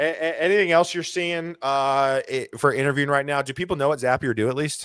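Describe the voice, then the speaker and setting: In a very clean recording with a silent background, a man speaks with a bright, sharp tone at a fairly high pitch. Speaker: career livestream host, recruiter. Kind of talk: casual livestream chat. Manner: fast.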